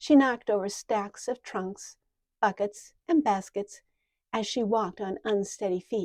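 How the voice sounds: The background stays quiet. A natural reading voice carries ordinary pitch variation.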